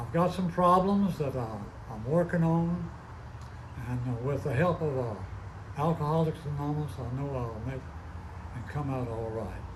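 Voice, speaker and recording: There is audible room echo as a man with a fairly high pitch speaks at a moderate pace. He leaves long, frequent pauses. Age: 90s. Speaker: recovery meeting speaker. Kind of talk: testimony.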